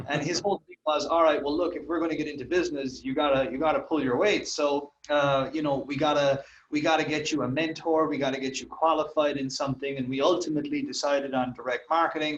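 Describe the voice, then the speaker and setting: A man's fairly high voice at a very fast pace, flat and monotone, with hardly any pauses. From Ireland. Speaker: copywriter and marketer. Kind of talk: interview. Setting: call.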